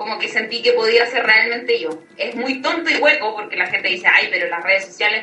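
With a Chilean accent, a woman in a high pitch speaks at a moderate pace in a raised, projected voice over noticeable background noise. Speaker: social media personality. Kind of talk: casual chat.

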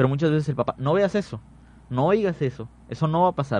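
Lively intonation and a fairly quick pace carry an unremarkable speaking voice. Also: man. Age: young. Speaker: paramedic rescuer. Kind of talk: radio interview.

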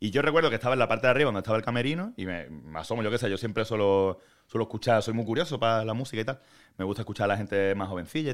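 The recording is very clean, with a silent background. A man speaks on it at a very fast pace. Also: medium pitch for a man, lively intonation. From Andalusia, Málaga. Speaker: singer-songwriter. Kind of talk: interview. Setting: studio on an 11th floor.

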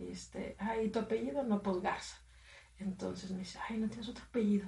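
A woman at medium pitch, speaking at a fairly quick pace over noticeable background noise. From Matamoros, Mexico. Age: 30s. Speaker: radio presenter. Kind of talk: casual chat.

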